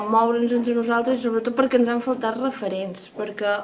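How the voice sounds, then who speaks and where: Her intonation stays fairly even. This woman is heard over noticeable background noise. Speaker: poetry anthologist. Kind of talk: interview answer.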